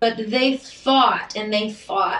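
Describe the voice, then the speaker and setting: A woman with an unremarkable speaking voice and a fairly high pitch speaks at a fairly slow pace. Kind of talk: casual chat.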